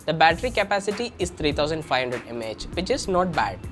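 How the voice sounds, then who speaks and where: Music plays in the background as a man talks at a fairly quick pace. His high pitch makes very wide swings. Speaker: tech reviewer. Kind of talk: tech review talk to camera.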